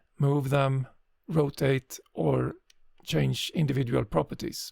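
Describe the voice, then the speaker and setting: A man is speaking. His pace is very slow. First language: not English. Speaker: GIS tutorial creator. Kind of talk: tutorial. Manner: hesitant, frequent filler sounds.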